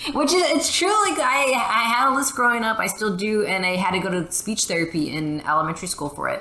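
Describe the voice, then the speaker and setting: A woman talks at a very fast clip with hardly any pauses and very wide pitch swings, over noticeable background noise. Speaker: gamer. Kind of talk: casual chat. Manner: halting.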